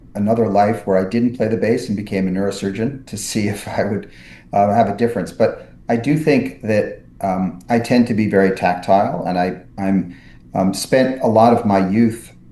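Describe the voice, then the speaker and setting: A man's dark, mellow voice, fairly low in pitch, with an American accent, fairly even intonation and a moderate pace. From New York City. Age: 60s. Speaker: neurosurgeon and author. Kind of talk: podcast interview. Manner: many fillers and restarts.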